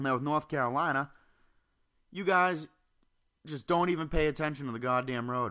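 A man speaks in an animated, bright and sharp tone at a moderate pace with lively intonation, on a very clean recording with a silent background. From Massachusetts, Norwell. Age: 20s. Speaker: podcaster. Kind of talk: casual monologue. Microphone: handheld mic held close to mouth.

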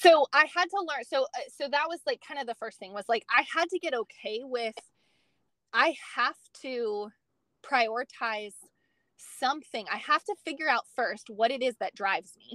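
A woman with an American accent and a high pitch projects her raised voice at a moderate pace, her bright, sharp tone carrying lively intonation, big swings in loudness and long, frequent pauses in a dry, close sound with no echo. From California. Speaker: nutrition coach. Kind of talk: interview.

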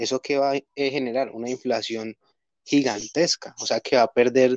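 A man uses a normal speaking voice at a medium pitch and moderate pace, with fairly even intonation. The sound is dry and close with no echo. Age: 20s. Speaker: industrial engineer, crypto investor. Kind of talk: casual interview.

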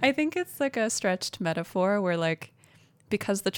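This plain reading aloud carries a lively, bouncing intonation.

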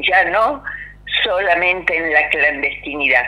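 A woman's fairly slow speech amid noticeable background noise. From Argentina. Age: 60s. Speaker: former political prisoner and university dean. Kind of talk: radio interview testimony.

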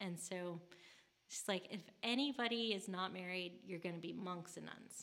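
A woman with an American accent has an unremarkable speaking voice at a medium pitch. Her pitch variation is ordinary. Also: moderate pace. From US Midwest, St. Louis, Missouri. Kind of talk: casual interview. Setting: convent retreat house on location.

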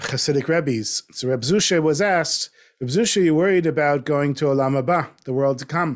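At a moderate pace and with ordinary pitch variation, the man talks in a plain, everyday voice. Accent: American. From US South, North Miami Beach. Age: 50s. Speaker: storyteller and writer. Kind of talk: interview conversation. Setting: video call.

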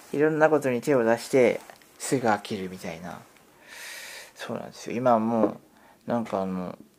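Speaking at a moderate pace with long, frequent pauses, a man of medium pitch shows ordinary pitch variation and big swings in loudness. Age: 50s. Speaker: podcaster. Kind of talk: casual monologue. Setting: at home. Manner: hesitant, rambling with fillers.

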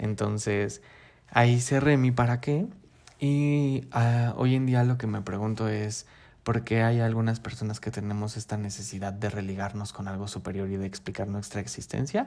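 At a moderate pace, a man of medium pitch talks with fairly even intonation on a very clean recording with a silent background. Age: 30s. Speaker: podcast host. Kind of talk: solo podcast monologue. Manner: hesitant, frequent fillers.

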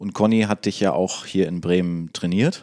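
The tone is dark and mellow. It comes from a man with a very deep, low pitch. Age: 30s. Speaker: podcast host. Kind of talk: casual interview.

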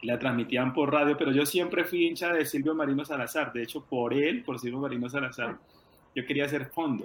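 Amid noticeable background noise, a man speaks at a fairly quick pace and fairly high pitch with fairly even intonation. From Colombia, rural Tolima. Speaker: former track athlete and coach. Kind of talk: interview.

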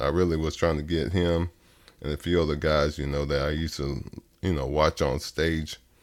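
Delivered with a Texas accent, the speech has vocal fry, monotone, flat intonation and a moderate pace. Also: man. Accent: Southern US (Texas). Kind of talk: interview.

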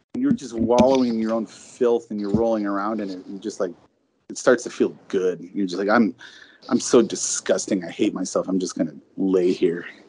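A man of medium pitch speaks in a dark, mellow tone with big swings in loudness. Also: ordinary pitch variation, moderate pace. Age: 40s. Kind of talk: casual chat.

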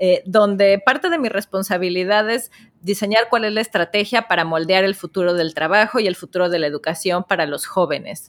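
A woman with a Mexican accent talks at a moderate pace, her medium pitch showing ordinary pitch variation. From Mexico. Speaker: entrepreneur and author. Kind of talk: interview.

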